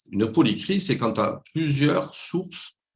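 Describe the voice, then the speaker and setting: With a slight southwestern French accent, a man speaks using lively intonation. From southwestern France, Toulouse. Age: 60s. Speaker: business coach, former banker. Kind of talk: video call interview.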